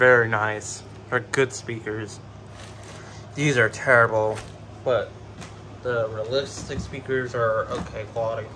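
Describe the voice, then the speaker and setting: A man speaks at a medium pitch with monotone, flat intonation. Long, frequent pauses break his speech over noticeable background noise. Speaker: product unboxing youtuber. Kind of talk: unboxing video commentary. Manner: halting.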